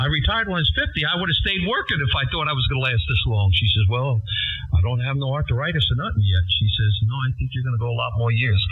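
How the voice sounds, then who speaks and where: Over music in the background, a man talks at a very fast pace with very wide pitch swings. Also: medium pitch for a man. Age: 60s. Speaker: ham radio operator. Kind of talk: casual chat.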